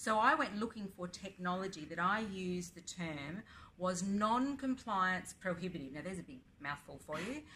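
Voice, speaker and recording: A woman speaks with an Australian accent at a moderate pace and medium pitch. Her tone is bright and sharp, and the room echo is audible. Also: lively intonation. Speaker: blockchain advocate and educator. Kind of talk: interview. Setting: conference.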